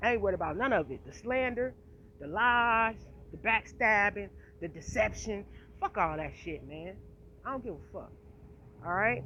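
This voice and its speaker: At a moderate pace, a woman with a medium pitch sounds animated and passionate, her lively intonation marked by vocal fry, big swings in loudness, and long, frequent pauses. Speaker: vlogger. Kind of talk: casual monologue vlog. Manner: animated, passionate.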